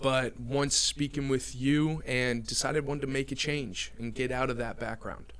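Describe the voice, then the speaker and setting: With an American accent, a man talks in a fairly high voice. His tone is bright and sharp. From New Jersey. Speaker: recruiter. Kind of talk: podcast interview.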